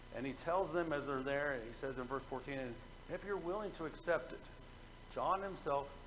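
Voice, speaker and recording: A man's fairly high voice at a fairly quick pace, with ordinary pitch variation over light background noise. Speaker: preacher. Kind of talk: sermon. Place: church.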